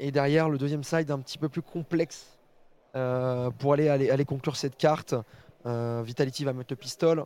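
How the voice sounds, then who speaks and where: This man's voice has a fairly high pitch and a dark, mellow tone. His intonation stays monotone and flat. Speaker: esports show host. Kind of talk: casual live show hosting. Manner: informal, hesitant, many fillers.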